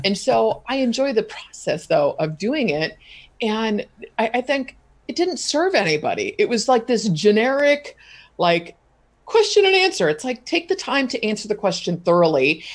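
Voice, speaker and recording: A woman's animated, fairly high voice with vocal fry and very wide pitch swings, in a very clean recording with a silent background. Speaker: content marketing expert. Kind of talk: interview. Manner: fast.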